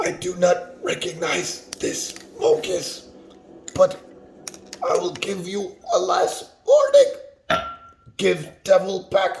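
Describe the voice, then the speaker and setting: In a husky, put-on character voice, a man speaks at a very slow pace. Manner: warning, stern.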